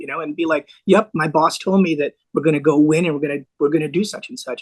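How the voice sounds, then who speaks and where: A very fast-paced man's voice, fairly high in pitch, with fairly even intonation and an American accent. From US (New York, LA, Bay Area). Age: 60s. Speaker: lawyer and former nightclub owner. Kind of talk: podcast interview.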